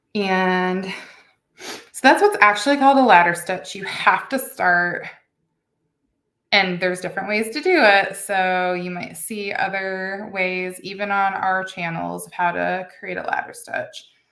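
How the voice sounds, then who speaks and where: A woman's bright, sharp voice at medium pitch, with big swings in loudness and audible room echo. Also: ordinary pitch variation, fairly slow pace. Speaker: beading instructor. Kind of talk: tutorial. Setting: home studio with camera and lighting.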